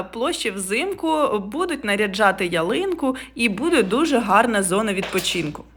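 Over noticeable background noise, a woman talks at a fairly slow pace in an animated tone, her fairly high voice making very wide pitch swings. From Ukraine, Poltava. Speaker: travel vlogger. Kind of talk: travel vlog narration.

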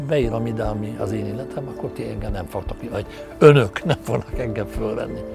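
Clear music plays in the background as a man speaks, in a dry sound with no echo. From Hungary. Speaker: animated film director. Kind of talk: interview answer. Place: garden. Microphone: lapel.

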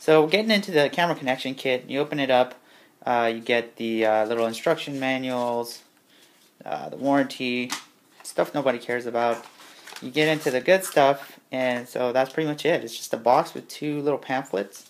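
With light background noise, a man speaks at a moderate pace and ordinary pitch variation. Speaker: tech reviewer. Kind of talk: casual unboxing tutorial. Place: home room. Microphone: handheld.

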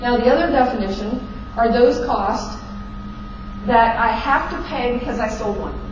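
With audible room echo and clear background noise, a woman talks at a fairly high pitch with ordinary pitch variation.

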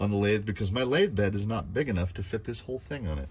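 A somewhat breathy man's voice, fairly low in pitch, at a very fast pace. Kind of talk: casual show-and-tell commentary. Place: workshop. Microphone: phone near.

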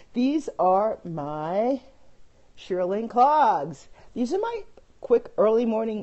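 Animated and with very wide pitch swings, the speaker has an American accent, heard over noticeable background noise. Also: woman. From Brooklyn, New York. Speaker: fashion and style vlogger. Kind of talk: casual chat. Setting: live video stream on phone. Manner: chatty, animated.

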